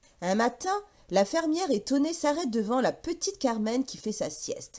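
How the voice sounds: A woman speaks at a high pitch, with big pitch swings. Her tone is slightly mellow, and her pace is moderate.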